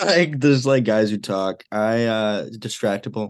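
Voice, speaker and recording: Against a quiet background, a normal speaking voice with an American accent shows ordinary pitch variation. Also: man. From Illinois, Chicago suburbs. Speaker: undergraduate student podcaster. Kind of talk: casual chat.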